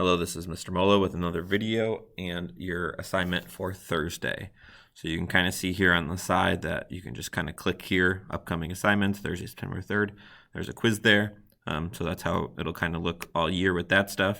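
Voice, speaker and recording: The man's pitch is very deep and low, and his intonation stays fairly even. He speaks at a fairly quick pace. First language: not English. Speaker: teacher. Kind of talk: tutorial. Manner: occasional stammering.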